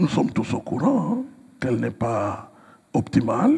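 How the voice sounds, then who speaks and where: Noticeable background noise fills the recording. Within it, a man speaks at a fairly slow pace. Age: 60s. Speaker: pastor and writer. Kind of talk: interview. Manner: hesitant, many fillers.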